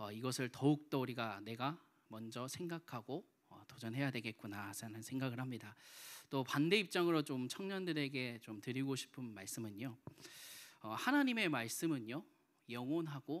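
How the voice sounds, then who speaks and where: A man at medium pitch and moderate pace, with ordinary pitch variation and big swings in loudness, on a very clean recording with a silent background. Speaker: preacher. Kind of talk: sermon. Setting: church. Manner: frequent filler hesitations.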